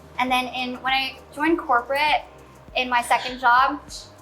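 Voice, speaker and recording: A woman with a high voice speaks at a moderate pace while noticeable background noise continues. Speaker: content creator. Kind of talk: panel discussion. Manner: soft-spoken.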